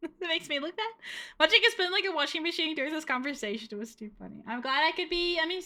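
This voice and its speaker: A woman speaks very fast in a raised, projected voice at an extremely high pitch. Her tone is bright and sharp, with big swings in loudness. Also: lively intonation. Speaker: VTuber streamer. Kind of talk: casual live-stream chat. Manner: slurred diction at times.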